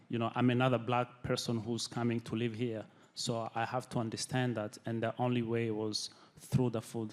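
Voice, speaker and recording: Moving at a fairly quick pace, the speaker uses monotone, flat intonation and a non-native accent. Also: man. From Burundi. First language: not English. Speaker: chef, restaurant owner. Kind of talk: panel discussion. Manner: halting, many fillers.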